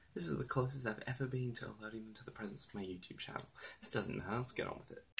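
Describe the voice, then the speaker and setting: A man with a medium-pitched voice talks quietly and very fast, with ordinary pitch variation. His loudness swings widely over noticeable background noise. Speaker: student playwright vlogger. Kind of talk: casual vlog. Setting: at home, different room. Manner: quiet, low volume.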